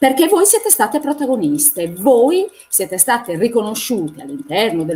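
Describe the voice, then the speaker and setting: With music in the background, a woman's pitch swings very widely. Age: 60s. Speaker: feminist activist. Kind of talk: panel discussion. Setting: live stream.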